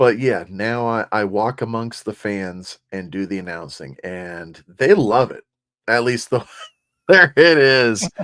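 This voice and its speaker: A man at medium pitch, very slow in pace, with lively intonation, big swings in loudness and a bright, sharp tone, on a very clean recording with a silent background. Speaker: co-host of a sports card chat show and ballpark PA announcer. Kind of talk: casual chat.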